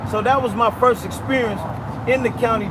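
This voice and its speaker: A man talks, and background noise is noticeable throughout. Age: 60s. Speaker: former gang member. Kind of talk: storytelling interview.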